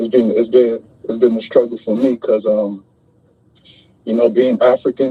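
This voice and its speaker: A man with a New York accent talks at a moderate pace and medium pitch, in a monotone with flat intonation. He leaves long, frequent pauses. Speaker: caller. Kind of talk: emotional tribute call.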